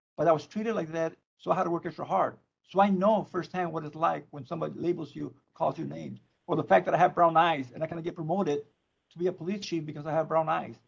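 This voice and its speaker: A man with a Spanish accent talks very fast at a fairly high pitch, with vocal fry. His loudness swings a lot. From Mexico (Tijuana). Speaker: probation chief. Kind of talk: public meeting presentation. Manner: halting, repeats words.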